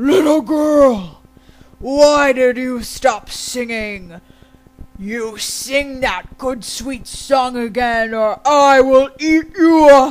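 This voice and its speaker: Someone in a put-on character voice talks at a very slow pace and a high pitch, with faint music in the background. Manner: mean, menacing.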